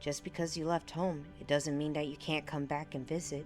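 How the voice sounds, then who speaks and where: A woman's very deep, low voice over music in the background. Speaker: vtuber. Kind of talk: ASMR book reading. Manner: quiet, soft-spoken.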